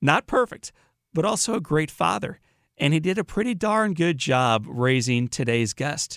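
A man with an American accent at a moderate pace, dry and close with no echo, in a very clean recording with a silent background. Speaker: podcast host and inspirational speaker. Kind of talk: interview. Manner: animated.

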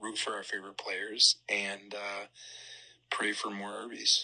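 A quiet man at a fairly slow pace. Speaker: sports podcast co-host. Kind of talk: casual chat. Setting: studio.

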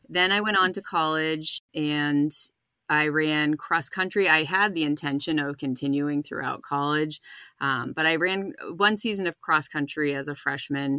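With an American accent, a woman's very deep, low voice has a bright, sharp tone and ordinary pitch variation, captured in a very clean recording with a silent background. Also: moderate pace. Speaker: runner, spouse of recovering alcoholic. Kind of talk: casual interview.

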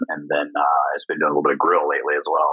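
A man speaks with a Midwestern US accent. His pace is very fast. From Indiana. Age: 40s. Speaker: chef. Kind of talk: casual interview chat. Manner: hesitant, many fillers.

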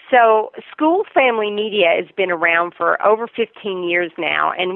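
In a Southern US accent, a woman speaks at a fairly slow pace. Her pitch is medium. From US South, Virginia. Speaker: marketing executive. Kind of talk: interview.

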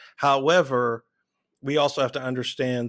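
On a very clean recording with a silent background, a man talks at a moderate pace. His pitch variation is ordinary. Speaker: podcast host. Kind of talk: casual interview. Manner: animated, upbeat.

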